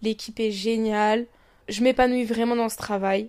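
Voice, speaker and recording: A woman's fairly high-pitched voice with monotone, flat intonation. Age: 20s. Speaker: podcaster. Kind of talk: casual monologue. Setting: lying in bed at home. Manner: hesitant, many fillers.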